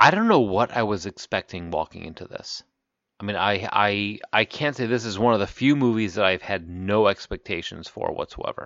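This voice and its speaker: A man with a fairly low pitch speaks at a moderate pace with ordinary pitch variation, in an ordinary speaking voice. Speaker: podcast host. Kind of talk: casual banter podcast chat.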